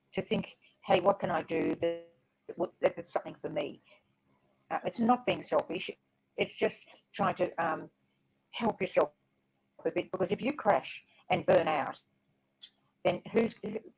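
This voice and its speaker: A woman with an Australian accent speaks at a medium pitch and a moderate pace, somewhat breathy, with long, frequent pauses. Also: ordinary pitch variation. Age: 80s+. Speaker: author and former teacher. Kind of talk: interview. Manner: halting, repeating words.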